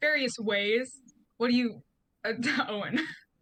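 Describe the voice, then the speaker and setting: Her tone is bright and sharp as a woman speaks at a moderate pace. Her pitch is high, with ordinary variation. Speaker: game master. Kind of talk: tabletop game narration. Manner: halting.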